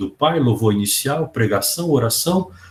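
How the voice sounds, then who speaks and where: A man's somewhat breathy voice carries ordinary pitch variation. He keeps a moderate pace. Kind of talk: lecture. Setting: video call. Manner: animated.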